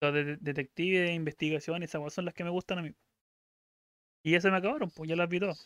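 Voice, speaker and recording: Speaking at a very fast pace with a Chilean accent, the voice breaks into long, frequent pauses. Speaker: podcast co-host. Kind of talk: casual chat.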